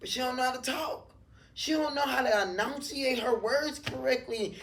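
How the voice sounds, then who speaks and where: An animated woman with an American accent and high pitch, at a moderate pace, amid noticeable background noise and audible room echo. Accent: New Orleans accent noticed by others. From New Orleans, Louisiana, US South. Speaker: barber. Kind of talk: casual interview chat.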